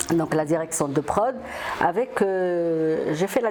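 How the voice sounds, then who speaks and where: A woman talks with lively intonation. Noticeable background noise sits behind her. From Morocco. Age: 60s. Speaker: film producer. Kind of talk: interview. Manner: halting, many hesitations.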